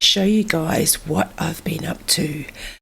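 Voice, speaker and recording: With an Australian accent, a woman speaks at a very slow pace. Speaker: gaming video creator. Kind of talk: casual gameplay commentary.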